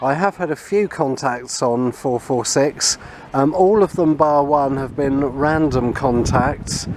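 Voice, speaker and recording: This man's voice sits fairly high in pitch. There is noticeable noise in the background. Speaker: amateur radio hobbyist. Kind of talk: vlog narration; radio contact exchange.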